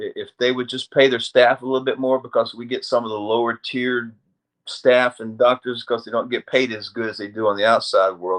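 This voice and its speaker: With an American accent, a man talks at a fairly quick pace in a medium pitch, his intonation monotone and flat but his loudness swinging widely. The sound is dry and close with no echo, over a quiet background. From US South, North Carolina. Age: 60s. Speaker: army aviator veteran. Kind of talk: casual interview chat. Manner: repetitive false starts.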